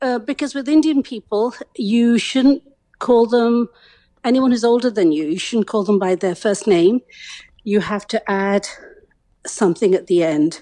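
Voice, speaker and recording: Fairly slow delivery with long, frequent pauses, lively intonation and a dark, mellow tone in a dry, close sound with no echo. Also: woman, fairly high pitch for a woman, quiet background. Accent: English. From England. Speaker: guest's mother. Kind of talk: casual chat.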